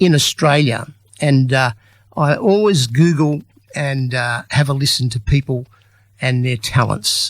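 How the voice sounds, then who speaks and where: A man with a fairly high, somewhat breathy voice, ordinary pitch variation, a fairly slow pace and long, frequent pauses. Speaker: community radio presenter. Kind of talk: radio interview hosting.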